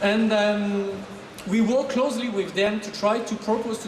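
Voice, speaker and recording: In a French accent, a man with a high pitch talks at a moderate pace amid audible room echo and noticeable background noise. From France. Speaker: marketing manager. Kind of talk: product presentation. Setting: stage with audience. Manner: animated.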